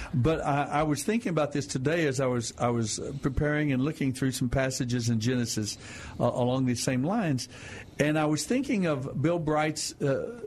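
A man with a fairly high pitch talks over music playing in the background. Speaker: radio Bible program host. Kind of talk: Bible teaching on radio call-in show. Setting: studio. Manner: soothing, sleep-inducing.

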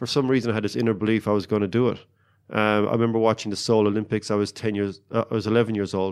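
A man talks very fast in a flat monotone, on a very clean recording with a silent background. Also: fairly low pitch for a man. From Ireland, County Cork. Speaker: Olympic rower. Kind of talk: interview.

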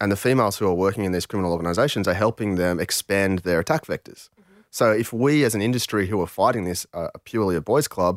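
At a very fast pace, a man speaks in a fairly low pitch with ordinary pitch variation. The sound is dry and close with no echo, in a very clean recording with a silent background. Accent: Australian. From Australia. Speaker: podcast host, reformed hacker. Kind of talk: podcast discussion.

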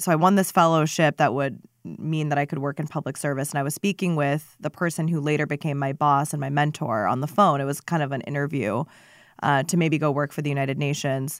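Speaking very fast with fairly even intonation, a woman in a General American accent has a very deep, low voice, captured on a very clean recording with a silent background. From Phoenix area, Arizona. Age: 20s. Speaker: city council member and former climate policy advisor. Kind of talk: interview. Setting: studio.

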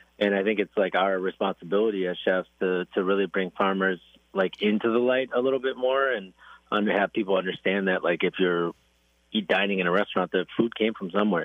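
He speaks with an Upper Midwest accent at a fairly quick pace. His voice is fairly low, with fairly even intonation. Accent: Upper Midwest American. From Wisconsin (Racine). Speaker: chef and restaurant owner. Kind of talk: casual radio interview. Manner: halting, many repetitions and fillers.

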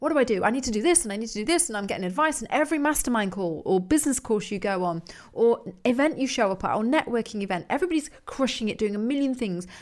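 Very fast and with very wide pitch swings, a woman speaks at a fairly high pitch in an English accent. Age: 40s. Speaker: podcast host, business coach. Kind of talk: motivational monologue. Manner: casual, conversational.

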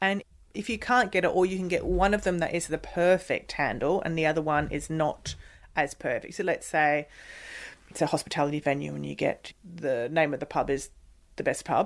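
Her voice is a normal speaking voice, fairly low for a woman, moving at a fairly quick pace. The recording is very clean with a silent background. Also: ordinary pitch variation. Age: 30s. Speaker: podcast host. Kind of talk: interview.

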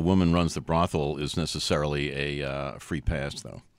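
Vocal fry from a male speaker, very clean recording and silent background. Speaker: film critic. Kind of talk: panel discussion. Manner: halting.

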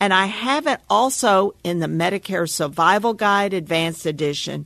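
Over a quiet background, a woman with an American accent has an ordinary speaking voice at medium pitch, with ordinary pitch variation and a fairly slow pace. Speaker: Medicare advisor. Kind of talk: scripted narration. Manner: formal.

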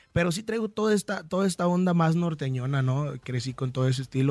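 Delivered at a fairly quick pace, the man's speech has lively intonation. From Michoacán, Mexico. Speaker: singer. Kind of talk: radio interview. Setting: radio studio.

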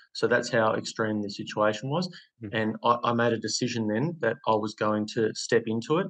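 With an Australian accent, a man speaks at a medium pitch and a moderate pace. His pitch variation is ordinary. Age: 30s. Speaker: former prisoner turned property investor and coach. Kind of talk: interview, personal story.

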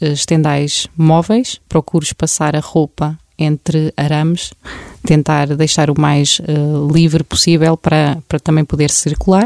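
A woman speaks fairly slowly in a very deep, low voice with fairly even intonation and very even loudness. The sound is dry and close with no echo. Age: 30s. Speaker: home-care content creator. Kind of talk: casual interview with practical tips.

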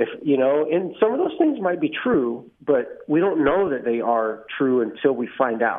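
A man with an American accent and a normal speaking voice, fairly high in pitch, at a fairly slow pace. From Texas Hill Country. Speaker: Marine Corps veteran, rehab admissions director. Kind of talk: interview, personal testimony.

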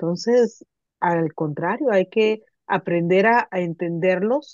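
The very slow speech has a dry, close sound with no echo. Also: woman. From Mexicali, Baja California, Mexico. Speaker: literature professor. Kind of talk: casual conversation.

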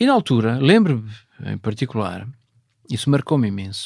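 Very wide pitch swings mark a man's voice in a very clean recording with a silent background. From northern Portugal, Vila Nova de Cerveira (Minho). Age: 50s. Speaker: space agency president. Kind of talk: interview. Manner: halting, many fillers.

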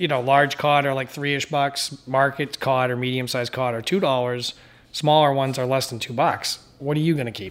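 A man of medium pitch talks at a fairly quick pace. His intonation is fairly even, with music in the background. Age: 40s. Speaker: commercial fisherman. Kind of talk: casual explanation. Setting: on a fishing boat.

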